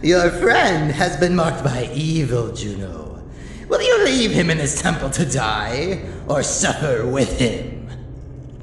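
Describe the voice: Putting on a character voice, a man talks at a fairly high pitch and fairly slow pace, with clear echo.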